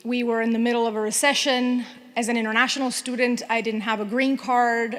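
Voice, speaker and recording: Over noticeable background noise, a woman with a Spanish accent talks at a moderate pace in a high pitch, her intonation monotone and flat. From Venezuela. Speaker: TV news anchor. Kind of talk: award acceptance speech. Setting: luncheon audience in a room.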